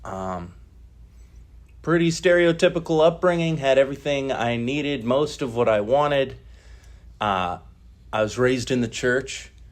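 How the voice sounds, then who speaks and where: Against a quiet background, a man with an American accent speaks at a moderate pace and a medium pitch, using lively intonation and long, frequent pauses. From US Midwest, Northeast Ohio. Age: 30s. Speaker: recovery meeting speaker. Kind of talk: personal testimony at recovery meeting. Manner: casual, halting with filler words.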